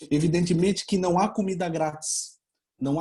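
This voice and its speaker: A man with a Portuguese accent has a fairly high voice with a dark, mellow tone and speaks at a moderate pace. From Brazil. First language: Portuguese (speaking Spanish). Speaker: law researcher, doctoral candidate. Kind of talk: conference talk. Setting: online webinar.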